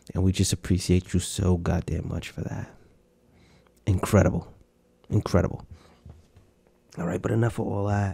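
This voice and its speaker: This man's pitch is very deep and low, his tone dark, mellow and somewhat breathy. He speaks in a flat monotone at a moderate pace, with long, frequent pauses. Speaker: podcast host. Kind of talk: casual chat. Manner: halting.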